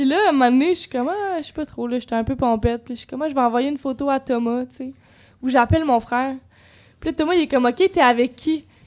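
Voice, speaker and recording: Very fast speech in a Quebec accent, with big swings in loudness and ordinary pitch variation. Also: woman, high pitch for a woman. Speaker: psychology student, podcast guest. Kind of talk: casual chat.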